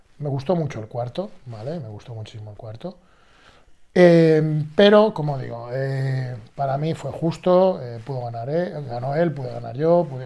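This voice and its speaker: Somewhat breathy with a dark, mellow tone, a man speaks at fairly high pitch and a fairly slow pace, his intonation lively and his loudness swinging widely. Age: 40s. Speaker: bodybuilder and fitness youtuber. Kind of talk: casual vlog monologue. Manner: animated.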